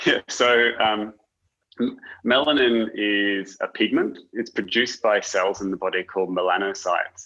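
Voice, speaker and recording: A man with a British accent and a fairly low pitch talks against a quiet background. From UK. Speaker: doctor. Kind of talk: interview. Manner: halting.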